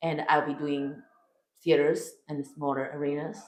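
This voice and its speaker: A woman with a Chinese accent, very deep and low in pitch, animated, at a fairly slow pace, with audible room echo. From China. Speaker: comedian. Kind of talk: interview. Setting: backstage before a show.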